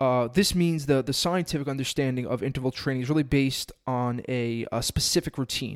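Speaking fairly quickly with hardly any pauses, a man uses an ordinary speaking voice at medium pitch with fairly even intonation, on a very clean recording with a silent background. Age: 30s. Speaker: fitness podcast host. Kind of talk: casual solo podcast talk. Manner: casual, many filler words.

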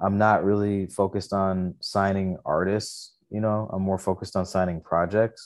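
Speaking in an American accent at a moderate pace with hardly any pauses, a man uses a fairly low pitch and a monotone, flat intonation against a quiet background. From Michigan, Detroit area. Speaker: artist manager and indie label owner. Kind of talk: casual chat.

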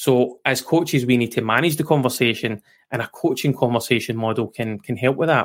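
Fairly quick and with fairly even intonation, a man with a Scottish accent speaks at a medium pitch on a very clean recording with a silent background. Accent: Scottish, noticeable. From west coast of Scotland. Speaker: QA expert and guest. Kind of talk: casual interview chat.

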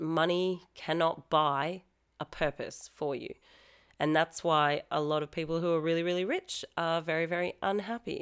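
A woman with an Australian accent talks at a moderate pace with fairly even intonation on a very clean recording with a silent background. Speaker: pole fitness studio founder and podcast host. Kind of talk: casual solo podcast talk.

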